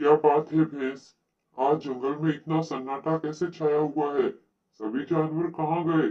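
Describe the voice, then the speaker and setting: This is a cartoonish character voice. Its pitch sits in the middle range. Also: moderate pace. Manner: authoritative.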